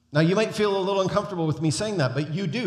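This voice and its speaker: Amid audible room echo, a man speaks in a somewhat breathy voice with lively intonation. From North America. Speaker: guest preacher. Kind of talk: sermon. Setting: church.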